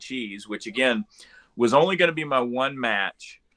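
Here a man speaks at a medium pitch. His pitch variation is ordinary. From North Florida. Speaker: independent pro wrestler. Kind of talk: casual interview chat. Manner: animated, joking.

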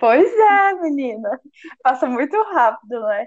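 The speaker has a Minas Gerais accent and ordinary pitch variation. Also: woman. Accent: mineiro. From Minas Gerais, Brazil (Uberlândia). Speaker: podcast co-host. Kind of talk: casual chat.

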